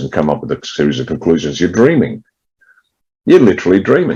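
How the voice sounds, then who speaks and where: With an Australian accent and vocal fry, a man speaks at a very fast pace. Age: 60s. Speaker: political party leader, ex-military. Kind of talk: interview.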